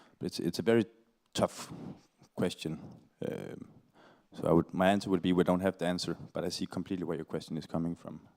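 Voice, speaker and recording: Speaking very fast in a Danish accent, the voice stays monotone and flat, broken by long, frequent pauses. The sound is dry and close, with no echo. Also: man, very deep, low pitch for a man. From Denmark (Aarhus). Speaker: panel speaker, climate activist. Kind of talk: panel Q&A answer. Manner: halting.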